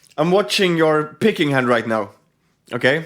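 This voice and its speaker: Pitched fairly high with very wide swings, a man speaks with a non-native accent. His pace is moderate, on a very clean recording with a silent background. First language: not English. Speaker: guitar reaction youtuber. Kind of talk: casual video reaction commentary. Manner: halting, many fillers and restarts.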